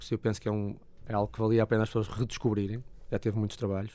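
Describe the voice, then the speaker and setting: A man speaks at a very fast pace in a flat monotone. His tone is dark and mellow. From northern Portugal, Porto. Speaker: blues musician. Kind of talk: casual interview.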